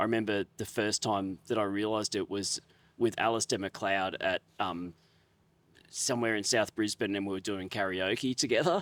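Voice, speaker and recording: A man with an Australian accent speaks at a moderate pace, fairly low in pitch and fairly even in intonation. The sound is dry and close with no echo, on a very clean recording with a silent background. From Australia, Queensland Sunshine Coast (Nambour). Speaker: chef. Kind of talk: casual chat.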